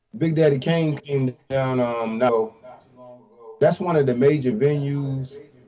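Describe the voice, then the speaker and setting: A man talks with an American accent. His pace is very slow. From Eastern Shore, Maryland (Salisbury). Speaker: hip hop artist. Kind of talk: interview. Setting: live stream.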